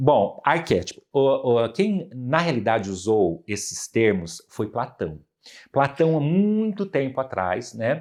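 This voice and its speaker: Very wide pitch swings mark this man's medium-pitched voice. He talks at a very slow pace over a quiet background. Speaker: psychoanalyst and professor. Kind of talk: podcast interview, explanatory. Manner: animated.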